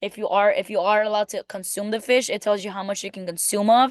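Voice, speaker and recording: Talking at a fairly quick pace with a non-native accent, a woman has a medium pitch and monotone, flat intonation, recorded dry and close with no echo against a quiet background. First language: not English. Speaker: student. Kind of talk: class presentation. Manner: casual, hesitant with fillers.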